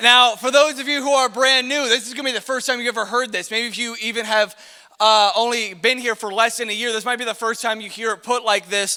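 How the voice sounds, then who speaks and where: With an American accent, a man speaks at a very fast pace in a raised, projected voice at an extremely high pitch, with noticeable background noise behind him. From US Midwest. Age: 20s. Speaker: youth pastor. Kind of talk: youth ministry talk. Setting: stage with audience. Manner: casual, energetic.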